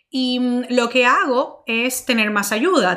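A woman speaking over noticeable background noise. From Dominican Republic. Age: 30s. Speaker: marketing podcast host and entrepreneur. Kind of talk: solo Q&A monologue. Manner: animated.

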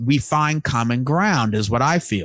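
A man with an American accent speaks at a moderate pace in a dry, close sound with no echo. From US Northeast, Long Island, New York. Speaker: podcast host. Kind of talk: casual chat.

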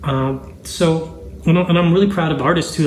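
A man speaking at a fairly quick pace with ordinary pitch variation, amid noticeable background noise and audible room echo. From Zambia. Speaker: music business podcast host. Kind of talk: casual business talk.

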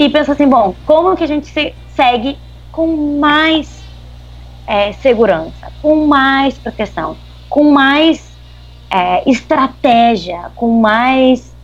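A woman talks at a very slow pace in a southern Brazilian accent. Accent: gaúcho Brazilian Portuguese. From southern Brazil (Rio Grande do Sul). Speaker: human rights advocate. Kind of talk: interview.

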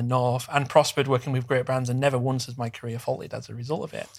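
A man with a West Yorkshire accent, very fast and monotone with flat intonation, on a very clean recording with a silent background. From northern England, Bradford. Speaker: social media event co-founder. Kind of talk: casual interview chat.

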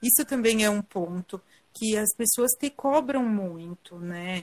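In an ordinary speaking voice, a woman talks at a fairly slow pace and fairly high pitch. Her intonation is lively, and the sound is dry and close with no echo. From southern Brazil, Rio Grande do Sul (Garibaldi). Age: 30s. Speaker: cancer survivor sharing her story. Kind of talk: live interview testimony. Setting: online live video call.

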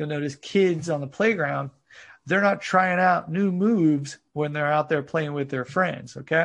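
At a moderate pace, a man with an American accent talks in an ordinary speaking voice with ordinary pitch variation. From United States. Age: 40s. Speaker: fitness coach. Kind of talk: interview.

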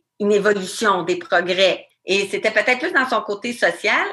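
A woman with a Quebec accent speaks at a medium pitch in a bright, sharp tone. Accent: Québécois French. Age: 40s. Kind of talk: interview.

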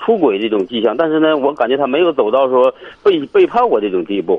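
A man speaks at a fairly quick pace. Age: 40s. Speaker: caller with marriage problem. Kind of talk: phone-in call. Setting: phone call from the street. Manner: halting.

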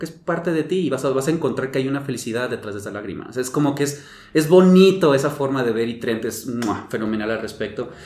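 Audible room echo surrounds the recording. A man talks at a very fast pace. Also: medium pitch for a man, ordinary pitch variation. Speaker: podcast co-host. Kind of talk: casual chat.

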